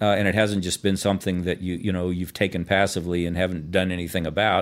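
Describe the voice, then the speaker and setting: A man talks at a very fast pace. His very deep, low voice stays in a monotone, flat intonation. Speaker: radio co-host and workplace culture consultant. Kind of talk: radio interview. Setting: radio studio. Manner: loud.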